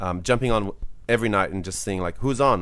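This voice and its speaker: This man talks at a very fast pace with an Australian accent. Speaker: video game podcast co-host. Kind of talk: casual chat. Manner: animated. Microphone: crackle in the background from his setup.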